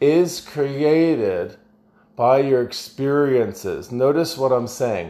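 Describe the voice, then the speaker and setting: A man with a dark, mellow tone speaks at a very slow pace. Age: 40s. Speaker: life coach and podcast host. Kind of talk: motivational solo talk.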